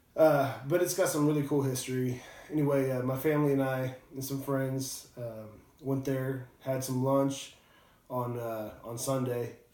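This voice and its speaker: Medium-pitched man at a fairly slow pace with fairly even intonation, amid noticeable background noise and audible room echo. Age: 30s. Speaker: whiskey reviewer, construction worker. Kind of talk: casual video review. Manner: hesitant, many fillers.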